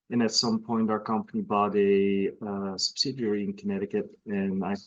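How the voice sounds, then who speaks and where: Speaking with a Belgian accent, a man keeps a medium pitch and a moderate pace in a monotone, flat delivery. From Belgium, northern part near Antwerp. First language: Dutch (Flemish). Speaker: horse breeder. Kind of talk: casual interview. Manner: halting.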